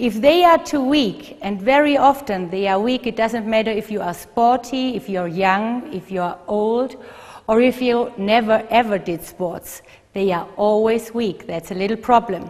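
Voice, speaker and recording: A fairly high-pitched woman with a German accent, speaking at a fairly slow pace. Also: ordinary pitch variation. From Germany. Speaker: physical therapist. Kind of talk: instructional video.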